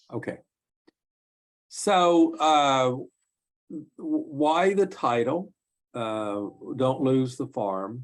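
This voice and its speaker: A man talks at a very slow pace, his pitch sitting in the middle range. His intonation is lively, broken up by long, frequent pauses. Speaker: elder law attorney. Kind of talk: webinar presentation. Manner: halting, many fillers.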